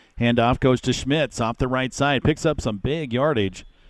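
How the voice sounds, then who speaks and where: Moving at a moderate pace, this man has an unremarkable speaking voice, pitched at a medium level with ordinary pitch variation. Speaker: radio play-by-play announcer. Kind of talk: live sports commentary. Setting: stadium broadcast, live radio.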